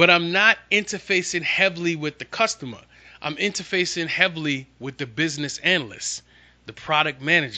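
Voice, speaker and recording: The tone is bright, sharp and animated, at a fairly quick pace. The background is quiet. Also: man. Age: 40s. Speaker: podcast host and SharePoint consultant. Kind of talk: casual solo monologue.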